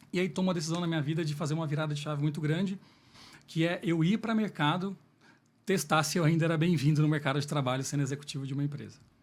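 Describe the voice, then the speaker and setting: The delivery is very fast, with fairly even intonation. The recording is very clean, with a silent background. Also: man, fairly high pitch for a man. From Minas Gerais, Brazil (Lavras). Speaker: business executive, salesman. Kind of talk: podcast interview.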